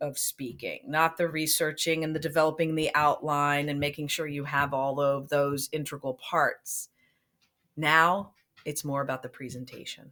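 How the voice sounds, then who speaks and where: This woman talks at a fairly slow pace in a very deep, low pitch, her tone bright and sharp and her intonation fairly even. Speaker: teacher. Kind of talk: lecture. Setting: recorded instructional video. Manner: monotone.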